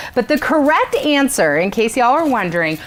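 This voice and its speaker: A woman speaks loudly in an animated tone, her pitch swinging very widely over noticeable background noise. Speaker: event host. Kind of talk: live event hosting. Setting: virtual gala livestream.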